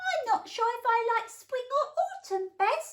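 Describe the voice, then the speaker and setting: A woman uses a put-on, squeaky character voice at an extremely high pitch. She speaks at a fairly slow pace. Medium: read story. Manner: chatty, distracted.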